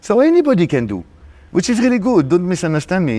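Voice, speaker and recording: A man with a French accent speaks, his pitch swinging very widely. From France, Paris. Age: 40s. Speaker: DJ and music producer. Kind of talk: interview. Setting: backstage at a club event in a theater.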